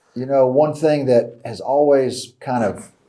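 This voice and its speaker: The man speaks at a moderate pace in a dark, mellow tone. Audible room echo surrounds his voice. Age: old. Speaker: Bible teacher. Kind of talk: lecture. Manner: conversational.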